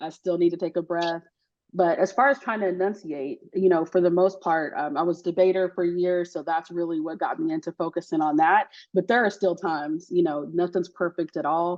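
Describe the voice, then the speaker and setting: A woman talks at a fairly quick pace. Her pitch sits fairly low. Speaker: insurance adjuster industry leader. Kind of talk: group video call discussion. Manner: fast; animated.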